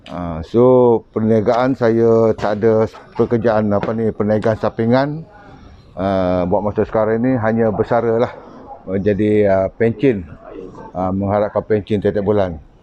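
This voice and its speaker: Here a man with a fairly low pitch speaks at a fairly slow pace, his intonation fairly even. Noticeable background noise is present. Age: 60s. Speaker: retired soldier. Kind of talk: interview. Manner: halting.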